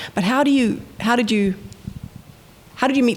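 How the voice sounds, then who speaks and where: This woman's pitch rises and falls in a normal way, with noticeable noise in the background. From New Zealand, Wellington. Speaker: panel moderator, writer-director. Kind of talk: panel discussion.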